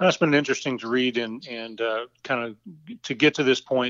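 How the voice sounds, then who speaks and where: Speaking with an American accent, this man keeps a medium pitch and fairly even intonation at a fairly quick pace. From Nebraska, US Midwest. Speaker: church member and retired physical therapist. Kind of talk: casual Bible discussion. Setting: phone call. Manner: halting, many fillers. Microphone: phone line, variable quality.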